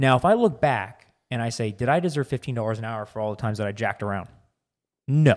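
Over a silent background in a very clean recording, a man talks very fast at a medium pitch with ordinary pitch variation. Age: 30s. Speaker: podcast co-host. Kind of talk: casual chat.

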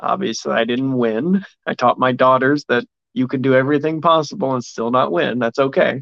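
A man with an American accent and a normal speaking voice, medium pitch, ordinary pitch variation and a fairly quick pace. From Indiana. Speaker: political candidate. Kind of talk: interview.

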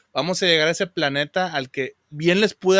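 On a very clean recording with a silent background, a man's bright, sharp tone comes through dry and close, with no echo. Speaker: podcast host, retired veterinarian. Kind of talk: casual chat.

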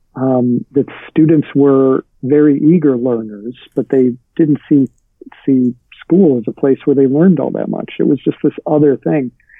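A man talks in an ordinary speaking voice at medium pitch, with ordinary pitch variation. His pace is fairly slow. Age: 40s. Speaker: writer and writing teacher. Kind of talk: interview.

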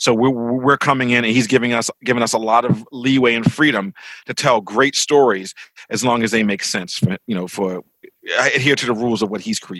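The sound is dry and close with no echo. A man with an American accent talks fairly quickly at a medium pitch in a plain, everyday voice with ordinary pitch variation. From Baltimore, Maryland, US. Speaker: comics and TV writer. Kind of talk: interview.

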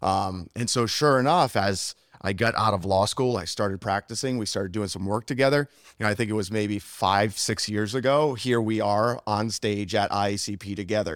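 A man with an American accent and a plain, everyday voice speaks at a fairly quick pace with a fairly low pitch. His pitch varies in an ordinary way, and the recording is very clean with a silent background. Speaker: attorney and instructor. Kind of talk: casual interview chat. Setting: live at a summit.

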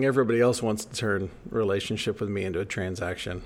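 The pitch varies in an ordinary way at a moderate speed. It is a normal speaking voice. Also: man. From United States. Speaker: podcast co-host. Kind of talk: casual chat; storytelling.

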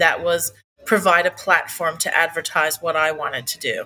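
In a Newfoundland accent, the voice has a bright, sharp tone and moves at a moderate pace. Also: woman. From Newfoundland, Canada. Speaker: cafe owner and artist. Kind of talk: interview. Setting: in her cafe.

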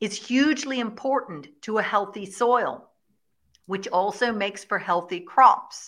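Against a quiet background, a woman with an Irish accent speaks at a fairly slow pace, her pitch fairly high with ordinary variation. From Ireland, Kilkenny. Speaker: shepherd and regenerative farmer. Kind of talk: interview.

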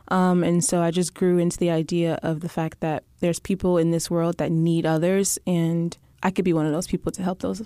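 A woman talks at a fairly quick pace with an American accent, her tone dark and mellow. Her pitch is fairly low and her intonation fairly even. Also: dry, close sound with no echo. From Texas. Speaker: medical student. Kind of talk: casual interview chat.

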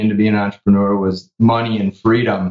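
This man has an unremarkable speaking voice, pitched fairly low. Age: 40s. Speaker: business owner who sold his company. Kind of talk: interview.

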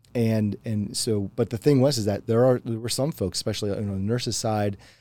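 On a very clean recording with a silent background, a man with a Mid-Atlantic American accent speaks very fast in a fairly low pitch, with a dark, mellow tone and fairly even intonation. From rural Pennsylvania. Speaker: software solutions architect. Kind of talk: interview conversation. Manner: halting, many repeated words.

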